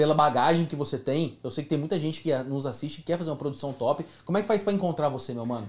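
A man is talking. His pitch is fairly high, with lively intonation. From Brazil. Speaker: talk show host. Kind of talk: live talk show. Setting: studio, livestream. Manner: animated. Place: studio.

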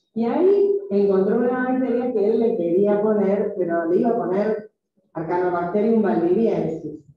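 A woman speaks at a moderate pace in a room with strong echo. Her loudness stays very even, and her pitch variation is ordinary. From Argentina. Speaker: microbiology professor. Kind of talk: lecture. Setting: classroom. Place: classroom. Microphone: video call.

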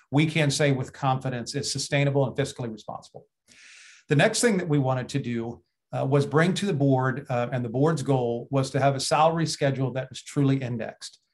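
Against a quiet background, a somewhat breathy man speaks at a fairly quick pace with fairly even intonation. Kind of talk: formal meeting remarks. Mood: polite, appreciative. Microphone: video call.

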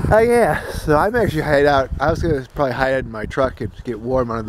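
A man speaks very fast in a dry sound with no echo, with noticeable background noise behind him. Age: 40s. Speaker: vlogger. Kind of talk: casual vlog monologue. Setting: outdoors at a campsite. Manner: rambling with many fillers. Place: forest. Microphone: phone near.

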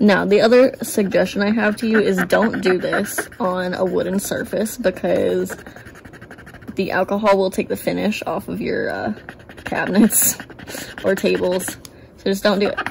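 Against noticeable background noise, a woman speaks at a moderate pace with long, frequent pauses. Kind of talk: tutorial. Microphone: phone near.

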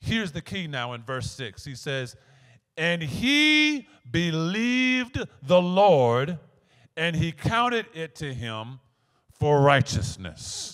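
Over a quiet background, a man talks at a very slow pace with big swings in loudness. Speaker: pastor. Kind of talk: sermon. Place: church. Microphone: handheld.

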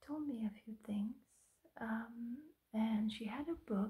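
A woman speaks softly with a somewhat breathy, dark and mellow tone. The background is quiet. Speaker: hypnosis role-play host. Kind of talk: soft relaxation roleplay talk. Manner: soft, intimate ASMR murmur. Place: home room. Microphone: phone near.

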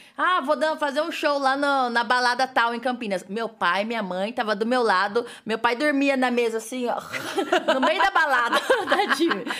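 In a rural Brazilian accent, a woman talks at a moderate pace with high pitch and lively intonation. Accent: rural Brazilian (caipira). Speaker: stage assistant and dancer. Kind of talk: podcast interview answer. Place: studio. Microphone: studio mic.

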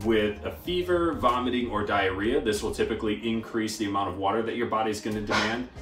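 A man talks in a room with audible echo. Faint music plays in the background. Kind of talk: informational talk to camera. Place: kitchen.

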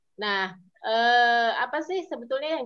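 This woman has an unremarkable speaking voice, talking at a fairly slow pace with ordinary pitch variation. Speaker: civil society policy advocate. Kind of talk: online webinar presentation. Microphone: weak signal connection.

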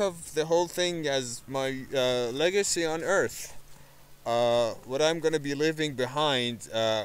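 A man at a very slow pace, ordinary pitch variation, dry sound with no echo. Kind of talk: casual vlog chat. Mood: calm, reflective. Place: garden. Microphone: phone near.

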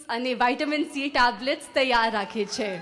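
A woman speaks at a high pitch with a non-native accent. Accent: non-native Gujarati. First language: English (speaking Gujarati). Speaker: bride-to-be giving a speech. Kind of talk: prepared speech. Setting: engagement party with audience. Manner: careful, effortful second-language delivery. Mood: warm, joyful, smiling. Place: hall. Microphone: handheld.

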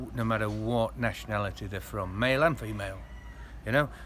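A man at a fairly quick pace over light background noise. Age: 50s. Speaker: expat interviewee. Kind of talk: casual interview. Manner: halting, repetitive. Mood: reflective, mildly rueful. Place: garden. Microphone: phone near.

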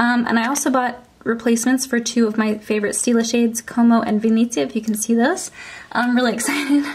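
A woman speaks at a very fast pace with fairly even intonation. Noticeable background noise runs behind her. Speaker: beauty vlogger. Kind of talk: casual chat. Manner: friendly, conversational.

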